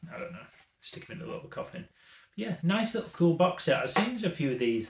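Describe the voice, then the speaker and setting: Lively intonation marks this man's delivery. His voice is somewhat breathy. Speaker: retro games YouTuber. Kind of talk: casual haul vlog chat. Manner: animated.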